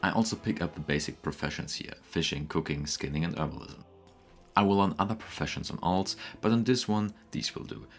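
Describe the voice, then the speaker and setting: Over music in the background, a man with a non-native accent speaks fairly quickly in a very deep, low voice with lively intonation. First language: not English. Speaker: gaming YouTuber. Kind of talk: gameplay commentary narration.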